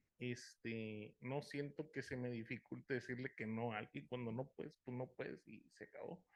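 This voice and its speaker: A man's normal speaking voice at medium pitch, with hardly any pauses. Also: ordinary pitch variation, moderate pace. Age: 40s. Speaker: support group member. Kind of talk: group sharing.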